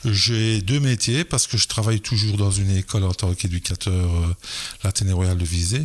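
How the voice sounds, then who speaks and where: Somewhat breathy and at a moderate pace, a man speaks with a fairly low pitch, ordinary pitch variation and very even loudness. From Belgium, Liège area. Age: 60s. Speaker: football players' agent and school educator. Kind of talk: podcast interview. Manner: hesitant, many fillers.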